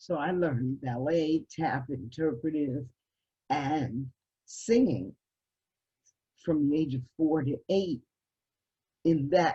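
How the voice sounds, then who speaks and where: A woman speaks at a very slow pace with a very deep, low pitch and a dark, mellow tone. Her voice is somewhat breathy, with lively intonation. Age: 70s. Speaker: musician and college professor. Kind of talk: interview.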